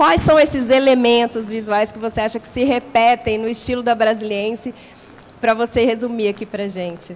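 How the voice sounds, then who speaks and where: A woman speaks at a moderate pace in a normal speaking voice, her fairly high pitch paired with big swings in loudness. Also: fairly even intonation. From Brasília, Brazil. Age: 40s. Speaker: panel moderator. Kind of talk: panel discussion.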